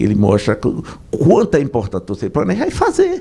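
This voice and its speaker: The man keeps a moderate speed. There is background noise you can clearly notice. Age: 60s. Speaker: business association president. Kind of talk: radio interview.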